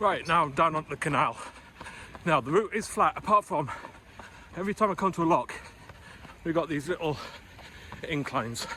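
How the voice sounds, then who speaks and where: A man talks fairly quickly in a high voice with ordinary pitch variation and long, frequent pauses. Background noise is noticeable. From northern England, Newcastle. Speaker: running vlogger. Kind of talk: vlog narration while running. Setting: outdoors, running along a canal in London.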